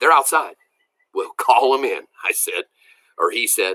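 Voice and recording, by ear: A natural read-aloud voice against a quiet backdrop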